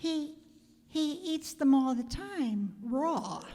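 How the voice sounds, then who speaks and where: Putting on a character voice, a woman speaks very slowly at a high pitch with lively intonation. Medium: stage play. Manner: terse, hesitant.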